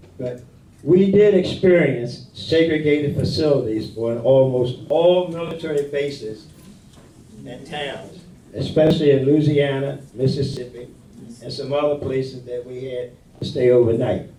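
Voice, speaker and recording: Delivered at a moderate pace with an American accent, this voice has ordinary pitch variation and big swings in loudness, with audible room echo. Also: man, fairly high pitch for a man. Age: 80s+. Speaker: war veteran. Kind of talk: speech to senior center audience. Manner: halting.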